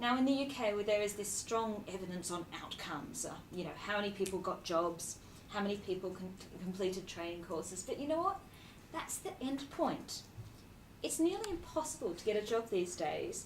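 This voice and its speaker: A woman with an Australian accent speaks at a fairly quick pace and medium pitch with lively intonation, amid audible room echo and noticeable background noise. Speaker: charity executive. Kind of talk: speech.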